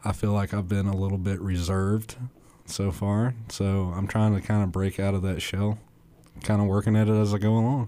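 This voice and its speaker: A man with a Southern US accent talks at a fairly quick pace in a fairly low pitch, his dark, mellow tone held at very even loudness with monotone, flat intonation. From northern Alabama (Limestone County). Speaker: stand-up comedian. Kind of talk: interview.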